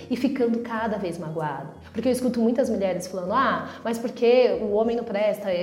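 With lively intonation, a woman speaks at a fairly high pitch. Background noise is noticeable, and there is audible room echo. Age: 30s. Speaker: podcast host. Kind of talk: reflective monologue.

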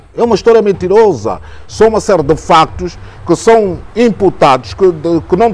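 Music plays in the background. Over it, a man speaks in a high-pitched voice. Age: 60s. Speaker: journalist. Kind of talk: interview. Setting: jazz club.

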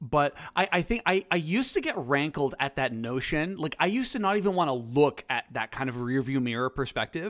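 An ordinary speaking voice with lively intonation moves at a fairly quick pace, recorded dry and close with no echo, very clean against a silent background. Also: man. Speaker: podcast co-host and teacher. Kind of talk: casual chat podcast.

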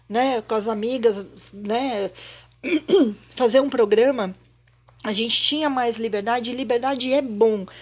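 A woman speaks in a fairly high pitch with fairly even intonation. Her pauses are long and frequent. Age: 50s. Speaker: podcast co-host. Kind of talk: casual chat.

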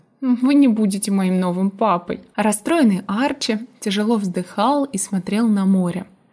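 The voice here reads aloud naturally.

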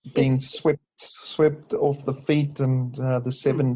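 A man talks at a medium pitch, somewhat breathy. His intonation is monotone and flat. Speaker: bible study participant. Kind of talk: casual group discussion. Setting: online group call.

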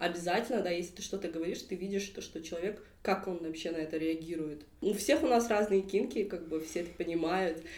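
A woman speaks at a very fast pace in a fairly low voice. The room echo is audible. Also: ordinary pitch variation. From southern Kazakhstan, Kentau. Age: 20s. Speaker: queer activist, drag king. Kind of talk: casual chat. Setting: studio, face to face.

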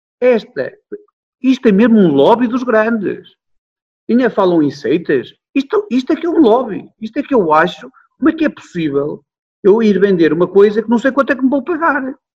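The voice makes very wide pitch swings and takes long, frequent pauses. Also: man, extremely high pitch for a man, moderate pace. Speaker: hotel manager. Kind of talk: interview. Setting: video call. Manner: animated.

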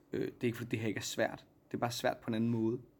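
A man is speaking. His pace is very fast. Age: 30s. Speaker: stage actor. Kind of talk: casual backstage interview. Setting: theatre dressing room.

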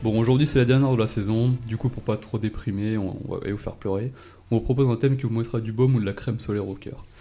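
Very fast speech comes in a dark, mellow tone with fairly even intonation. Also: man, medium pitch for a man. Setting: radio studio.

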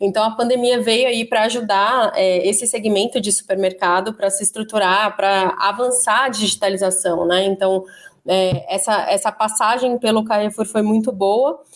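A woman with an ordinary speaking voice, fairly high in pitch, at a moderate pace and with ordinary pitch variation. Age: 30s. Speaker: e-commerce manager. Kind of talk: interview.

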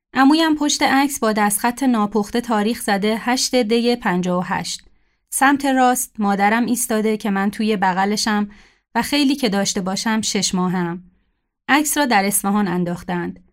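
A woman with an unremarkable speaking voice, fairly high in pitch, with ordinary pitch variation at a moderate pace, in a very clean recording with a silent background. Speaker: writer. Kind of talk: reading aloud.

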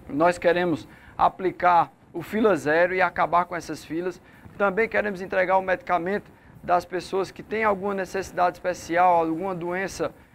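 A man with a high-pitched voice speaks at a moderate pace and keeps his intonation fairly even. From Santa Cruz do Capibaribe, Pernambuco. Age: 40s. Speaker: mayoral candidate, businessman. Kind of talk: political debate. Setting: radio/online studio.

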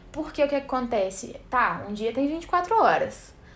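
A woman talks at a fairly slow pace. Her voice is high-pitched. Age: 20s. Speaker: podcast host. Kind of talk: casual solo podcast monologue. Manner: informal, chatty with laughter.

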